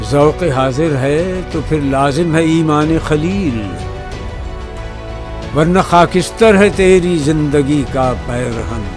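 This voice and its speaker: Music plays in the background. The speech has ordinary pitch variation. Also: man, fairly high pitch for a man. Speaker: poetry reciter. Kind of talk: poetry reading.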